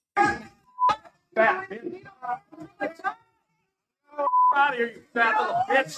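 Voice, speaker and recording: Shouting in a put-on character voice at a high pitch, the speaker swings very widely in pitch and moves at a very slow pace with long, frequent pauses. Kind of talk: profane, aggressive. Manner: screaming, hostile.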